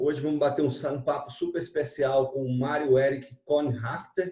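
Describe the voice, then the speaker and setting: A man with a fairly high, somewhat breathy voice talks at a moderate pace. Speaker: interviewer, channel host. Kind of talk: interview.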